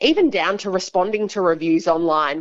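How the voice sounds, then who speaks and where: Against a quiet background, a woman with an Australian accent speaks at a moderate pace in a medium pitch. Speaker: business executive. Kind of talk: radio interview.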